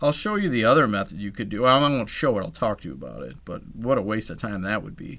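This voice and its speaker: Very fast and with hardly any pauses, a man talks in a fairly low voice with vocal fry and a bright, sharp tone. His intonation is lively, on a very clean recording with a silent background. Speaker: math teacher. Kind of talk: tutorial.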